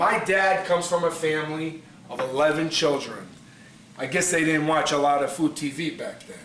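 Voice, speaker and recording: A man with a Brooklyn accent and a fairly high pitch, amid noticeable background noise and audible room echo. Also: ordinary pitch variation, moderate pace. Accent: Brooklyn New York. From New York City (Brooklyn). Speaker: pasta maker, cooking show contestant. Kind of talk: cooking demonstration audition. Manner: animated.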